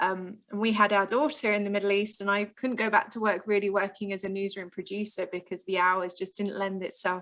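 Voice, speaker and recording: With an English accent, a woman talks fairly quickly at a medium pitch, her intonation monotone and flat. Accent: very English. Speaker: spaceport public relations officer. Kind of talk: podcast interview. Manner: frequent filler 'um'.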